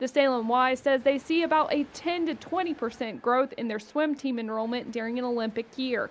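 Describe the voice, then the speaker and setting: With hardly any pauses, a woman talks at a fairly quick pace in a high pitch with ordinary pitch variation. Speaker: TV news reporter. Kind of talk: TV news field report.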